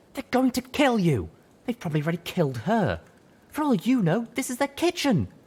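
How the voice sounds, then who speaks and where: This put-on character voice, pitched fairly high, hisses as it moves at a fairly quick pace. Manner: hissing, urgent.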